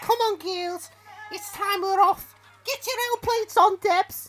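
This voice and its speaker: In a put-on character voice, a female-sounding speaker goes at a fairly slow pace with extremely high pitch for a woman. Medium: audio drama. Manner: brash, rowdy.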